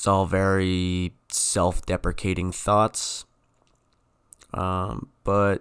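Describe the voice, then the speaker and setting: A very clean, silent-background recording of a man with a very deep, low pitch. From New England. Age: 20s. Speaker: student podcaster. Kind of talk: casual monologue. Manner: self-correcting, hesitant with fillers.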